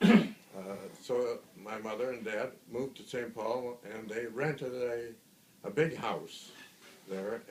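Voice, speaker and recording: With an Upper Midwest accent, a man speaks at a very slow pace with a medium pitch and ordinary pitch variation. His loudness swings widely over noticeable background noise. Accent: Upper Midwest American. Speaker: grandfather. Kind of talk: family storytelling, casual recollection. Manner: hesitant, many fillers.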